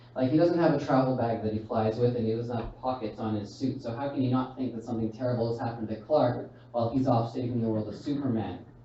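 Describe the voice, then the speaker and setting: At a fairly quick pace, a man with a medium pitch speaks with fairly even intonation amid audible room echo. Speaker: stand-up comedian. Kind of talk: stand-up. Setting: stage with audience.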